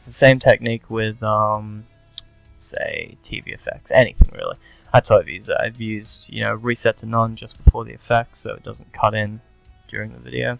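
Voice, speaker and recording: A man mumbles his words. Music plays in the background. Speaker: gaming video tutorial maker. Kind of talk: casual screen-recording tutorial. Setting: poor-quality headset microphone. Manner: mumbled, hesitant.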